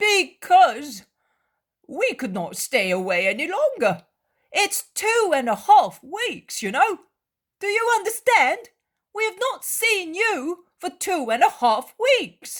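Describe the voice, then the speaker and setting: A hoarse, put-on character voice at an extremely high pitch speaks at a fairly slow pace. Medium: read story. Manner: talkative, impulsive.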